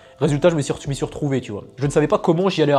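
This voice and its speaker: Rattling along at a very fast pace, a man with a fairly high pitch uses an animated tone and ordinary pitch variation. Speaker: fitness and health coach. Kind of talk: advice monologue to camera. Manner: casual, animated.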